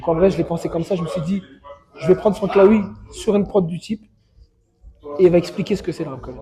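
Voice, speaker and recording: A man with a high pitch races along very fast, his loudness swinging widely and his intonation fairly even. Long, frequent pauses break up the speech as music plays in the background. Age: young. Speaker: rapper. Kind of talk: casual interview.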